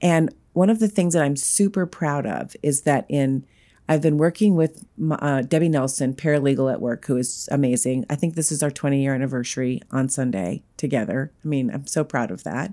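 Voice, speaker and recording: In a very clean recording with a silent background, a woman with an American accent talks at a fairly quick pace, her pitch very deep and low and her tone dark and mellow. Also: lively intonation. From US South. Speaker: podcast co-host. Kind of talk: casual chat.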